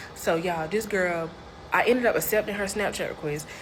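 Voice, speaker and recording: A woman at a medium pitch and very fast pace, with ordinary pitch variation, audible room echo and noticeable background noise. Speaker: storyteller. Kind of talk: storytime monologue. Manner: animated.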